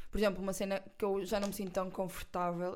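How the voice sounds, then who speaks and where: Her speech moves at a very fast pace, in a European Portuguese accent. The woman's pitch is medium and her intonation monotone and flat. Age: 20s. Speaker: podcast host. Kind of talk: casual chat. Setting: recording at an agency office.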